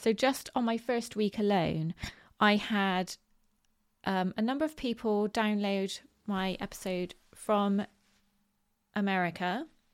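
A woman with a West Country accent, fairly slow pace and long, frequent pauses, medium pitch and ordinary pitch variation, in a very clean recording with a silent background. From Bristol, southwest England. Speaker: podcast host. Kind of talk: solo podcast talk on positive mindset. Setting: home recording with dogs. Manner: informal, filler words, chatty.

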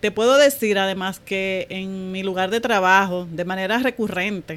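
Normal pitch movement and a fairly slow pace mark an ordinary speaking voice. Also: woman. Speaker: banking professional. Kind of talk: testimony.

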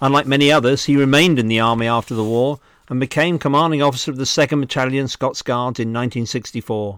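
A man with a British accent talks at a very fast pace and medium pitch, with hardly any pauses and fairly even intonation. The recording is very clean, with a silent background and a dry, close sound with no echo. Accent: British, educated. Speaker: museum director and podcast host. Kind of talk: scripted narration and reading aloud from a book. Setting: lockdown, recorded at home. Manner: formal, dry humour.

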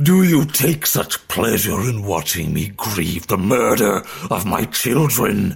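A man's put-on character voice, guttural and rumbling, at medium pitch with very wide pitch swings and a fairly slow pace. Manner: grieving, accusing.

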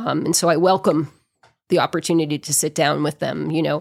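With an American accent, a woman speaks at a moderate pace in a very deep, low pitch with vocal fry and fairly even intonation, on a very clean recording with a silent background. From New England (outside Boston). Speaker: mayor. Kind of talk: casual interview.

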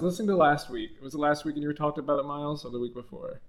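This is a man speaking. His pitch is fairly high. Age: 20s. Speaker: YouTuber, guest. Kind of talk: casual chat.

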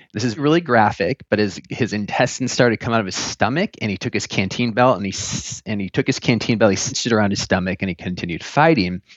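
With an ordinary speaking voice and ordinary pitch variation, a man talks at a fairly low pitch. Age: 30s. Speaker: photographer and filmmaker. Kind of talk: interview.

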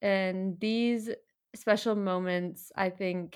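A woman speaks with fairly even intonation on a very clean recording with a silent background. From US Midwest, Minnesota. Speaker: podcast host, cross-country ski racer. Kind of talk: scripted narration.

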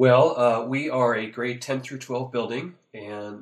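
Speaking with an American accent, a man talks at a medium pitch. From US Pacific Northwest. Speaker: high school AP coordinator. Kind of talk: casual interview chat. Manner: hesitant, filler-heavy.

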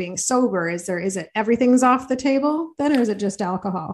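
Speaking at a fairly quick pace, a woman with an Ontario accent uses ordinary pitch variation. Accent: Canadian (Ontario). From Belleville, Ontario, Canada. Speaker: podcast host. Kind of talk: casual interview chat.

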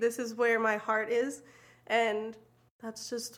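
Speaking at a moderate pace, a woman uses a normal speaking voice with fairly high pitch. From US South, moved often. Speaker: church ministry assistant. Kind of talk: casual chat.

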